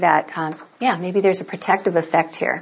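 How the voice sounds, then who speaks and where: Her intonation stays fairly even at a moderate pace. The woman has a plain, everyday voice at medium pitch. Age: 60s. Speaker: registered nurse and medical cannabis activist. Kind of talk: lecture.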